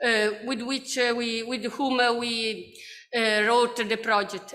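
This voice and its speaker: A woman speaks at a high pitch in an Italian accent at a fairly slow pace. There is audible room echo. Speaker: researcher. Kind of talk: conference presentation. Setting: conference. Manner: halting.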